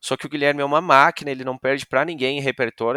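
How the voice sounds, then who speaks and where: The man's tone is bright and sharp. His recording is very clean, with a silent background and a dry, close sound with no echo. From Brazil, Rio Grande do Sul (Novo Hamburgo). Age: 20s. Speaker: music show production manager. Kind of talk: podcast interview.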